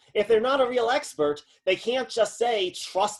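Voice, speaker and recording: A man speaks at a fairly quick pace. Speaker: philosophy lecturer. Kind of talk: lecture. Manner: fast.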